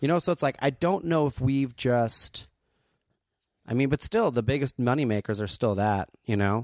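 An unremarkable speaking voice with an American accent moves at a moderate pace and very even loudness. The recording is very clean with a silent background and a dry, close sound with no echo. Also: man, medium pitch for a man, lively intonation. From New Jersey (Asbury Park/Neptune). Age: 30s. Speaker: stand-up comedian. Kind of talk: casual chat.

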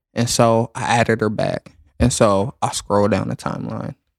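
In a very clean recording with a silent background and a dry, close sound with no echo, a man talks at a moderate pace and medium pitch. His intonation is fairly even, with vocal fry. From US South. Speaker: delivery driver. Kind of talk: casual chat.

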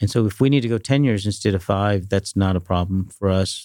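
Over a silent background on a very clean recording, a man talks at a fairly quick pace in a dark, mellow tone with fairly low pitch. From Dallas-Fort Worth, Texas (born in India). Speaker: private equity investor. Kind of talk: interview.

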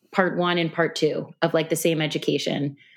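A woman talks at a moderate pace in a fairly low pitch. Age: 30s. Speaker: mother sharing her birth story. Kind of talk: casual interview, personal story. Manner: many filler words, hesitant.

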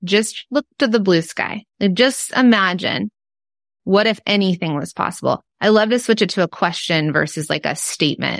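A woman's medium-pitched voice with vocal fry and an American accent, lively intonation at a moderate pace, dry and close with no echo in a very clean recording against a silent background. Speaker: entrepreneur and podcast cohost. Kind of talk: casual interview chat.

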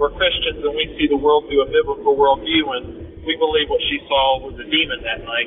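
Noticeable background noise sits under the recording. A man speaks at a fairly quick pace. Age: 20s. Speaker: caller. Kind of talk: storytelling.

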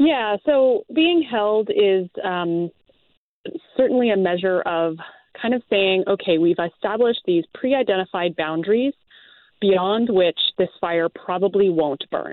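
A woman talks at a fairly slow pace with a medium pitch and lively intonation. She has an ordinary speaking voice. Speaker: forestry researcher. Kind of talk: interview.

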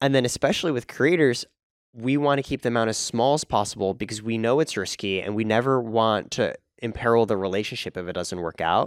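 An ordinary speaking voice from a man at medium pitch and a fairly quick pace, ordinary pitch variation, dry and close with no echo, on a very clean recording with a silent background. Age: 30s. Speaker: fintech co-founder. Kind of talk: interview. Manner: casual.

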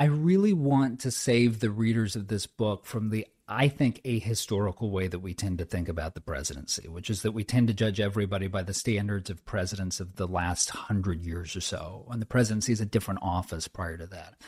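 With an American accent, a man speaks at a fairly low pitch in a somewhat breathy voice, with hardly any pauses. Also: ordinary pitch variation, fairly quick pace. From Southern California (inland). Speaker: author and former speechwriter. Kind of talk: interview.

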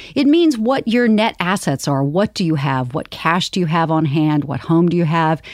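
In a normal speaking voice, a woman talks at a moderate pace with a fairly low pitch and lively intonation. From US South, Charleston, South Carolina. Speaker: finance executive. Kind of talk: interview conversation. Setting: studio.

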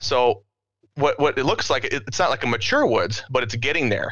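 The voice is bright and sharp, with an American accent. The background is quiet. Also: man. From US Midwest. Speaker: habitat consultant. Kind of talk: casual chat.

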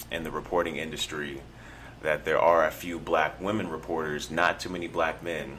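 A soft-spoken man talks at a moderate pace. His very deep, low voice keeps a fairly even intonation. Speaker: podcast co-host. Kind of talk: casual chat.

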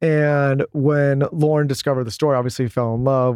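A man with an American accent talks at a fairly quick pace in a flat, monotone way. The sound is dry and close, with no echo. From Southern California. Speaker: podcast co-host. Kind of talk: casual interview.

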